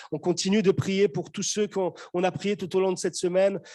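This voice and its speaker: Against a quiet background, a man with a high pitch and a dark, mellow tone speaks at a moderate pace. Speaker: pastor. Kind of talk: sermon. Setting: church; video call.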